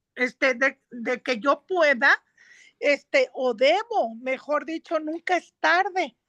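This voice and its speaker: A woman's high, bright, sharp voice at a very slow pace, lively in intonation, against a quiet background with a dry, close sound and no echo. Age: 60s. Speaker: conference attendee. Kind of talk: Q&A comment in online talk. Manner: halting.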